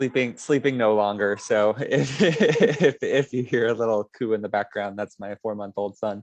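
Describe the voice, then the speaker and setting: A quiet man's voice with hardly any pauses and ordinary pitch variation, dry and close with no echo. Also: medium pitch for a man, moderate pace. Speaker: advocacy director. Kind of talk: panel introduction.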